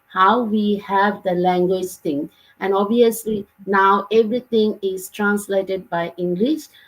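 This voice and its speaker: Somewhat breathy female speech, moderately paced and with ordinary pitch variation. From Bangladesh. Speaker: online business mentor. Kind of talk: live Q&A session. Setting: livestream.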